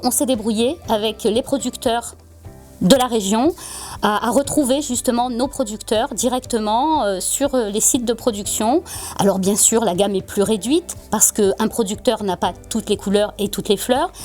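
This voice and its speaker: A woman with a southern French accent, fairly high in pitch with ordinary pitch variation, over music in the background. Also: fairly slow pace. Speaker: florist. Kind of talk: interview answer.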